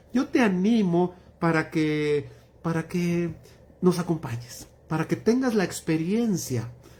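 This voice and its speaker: This man speaks at a very slow pace. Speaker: pastor. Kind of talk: Bible study livestream closing remarks. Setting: livestream.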